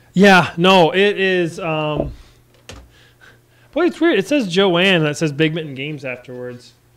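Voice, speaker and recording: A man speaks loudly at a high pitch. He leaves long, frequent pauses. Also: ordinary pitch variation, fairly slow pace. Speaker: indie game developer streaming. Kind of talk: casual live stream chat. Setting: live stream with call.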